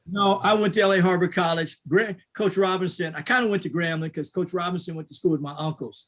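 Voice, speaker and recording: A very fast delivery in a Louisiana accent, with hardly any pauses and fairly even intonation. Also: man, high pitch for a man. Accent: Louisiana, US South. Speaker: business association president. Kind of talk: panel discussion.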